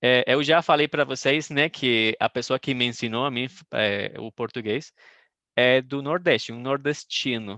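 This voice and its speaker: A man with a medium-pitched voice speaks at a fairly slow pace, his pitch varying in an ordinary way. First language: Spanish (speaking Portuguese). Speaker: Portuguese teacher. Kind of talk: online language class. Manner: halting, many fillers.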